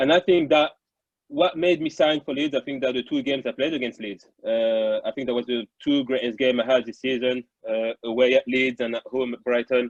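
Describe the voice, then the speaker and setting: With a French accent, a man talks at a fairly quick pace in a medium pitch with ordinary pitch variation. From France. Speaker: former footballer. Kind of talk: interview.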